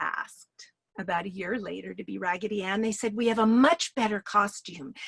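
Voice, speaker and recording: With an American accent and vocal fry, a woman speaks at a moderate pace with hardly any pauses, in a dry, close sound with no echo. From New York City. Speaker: storyteller. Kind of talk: personal story performance.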